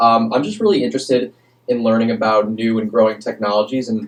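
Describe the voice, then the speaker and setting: A man speaks in a normal speaking voice at a medium pitch, with fairly even intonation. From New York. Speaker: student intern, podcast co-host. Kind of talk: casual podcast chat.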